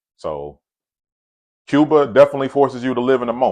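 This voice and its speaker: A man talks with an American accent. The background is quiet. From US South, Atlanta. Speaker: travel vlogger. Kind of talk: casual storytelling vlog. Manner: casual, many fillers and repetitions.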